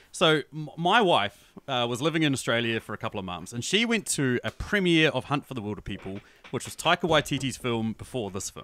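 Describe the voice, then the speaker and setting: A man with a New Zealand accent, medium pitch, lively intonation and a fairly quick pace. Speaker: podcaster, movie reviewer. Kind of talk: casual chat. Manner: animated.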